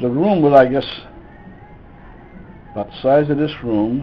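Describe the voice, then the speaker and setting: A man speaks at a fairly high pitch while music plays in the background. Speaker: grandfather. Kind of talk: storytelling interview answer.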